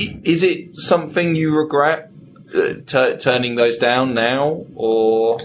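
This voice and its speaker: A man speaks with a British accent at a very slow pace. His loudness stays very even, with ordinary pitch variation. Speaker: podcast co-host. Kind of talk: interview.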